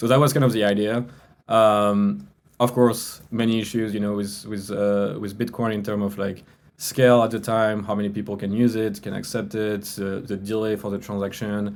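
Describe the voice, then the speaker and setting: A man speaks in a French accent at a fairly low pitch. His pace is moderate and his intonation fairly even. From France. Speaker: crypto business executive. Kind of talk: interview. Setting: podcast.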